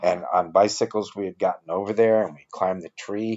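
His voice is fairly low in pitch. The man talks with an American accent. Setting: living room with family listening. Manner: unhurried, gentle, storyteller pacing; animated at the bee stings.

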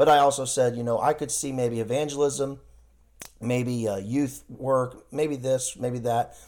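Speaking with an American accent, a man talks at a fairly slow pace and medium pitch, his intonation monotone and flat. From US Midwest. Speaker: missionary. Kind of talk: casual interview.

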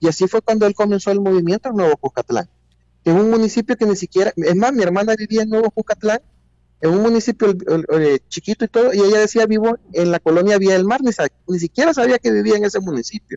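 A man speaks at a very fast pace with a high voice and lively intonation. His loudness stays very even throughout. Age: 40s. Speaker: politician. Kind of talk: interview.

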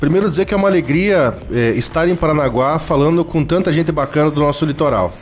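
A man talks at a very fast pace with hardly any pauses, his voice fairly high, his loudness very even and his pitch varying in an ordinary way. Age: 40s. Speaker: former municipal environment secretary. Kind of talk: radio interview.

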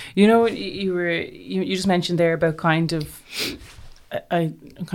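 With an Irish accent, the speaker keeps a fairly even intonation. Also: woman. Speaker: podcast host. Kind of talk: interview. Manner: halting.

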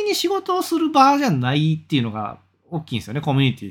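Recorded very cleanly against a silent background, a man speaks at a very fast pace. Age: 30s. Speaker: freelancer and podcaster. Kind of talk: casual solo talk.

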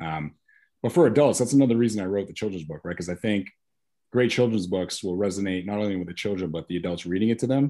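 Talking at a very fast pace, a man with a fairly low pitch, dark, mellow tone and ordinary pitch variation is heard against a quiet background. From Maine, Biddeford. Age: 40s. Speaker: children's book author and former doctor. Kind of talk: casual interview.

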